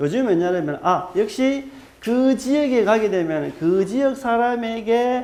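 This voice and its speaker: A man's lively, bouncy delivery with audible room echo. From Gyeongsang region, South Korea. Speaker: archaeologist lecturer. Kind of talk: lecture. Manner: hesitant, filler-heavy.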